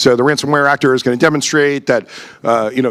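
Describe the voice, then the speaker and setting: A man speaks at a fairly high pitch with ordinary pitch variation. Noticeable background noise can be heard. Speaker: conference speaker. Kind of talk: conference talk. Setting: stage with audience. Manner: fast; halting, many fillers.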